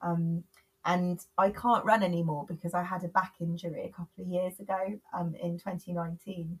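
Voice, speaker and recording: A woman's somewhat breathy, fairly low voice with monotone, flat intonation and a dry, close sound with no echo. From England, Bristol. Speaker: author and body image campaigner. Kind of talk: podcast interview. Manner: hesitant with frequent fillers.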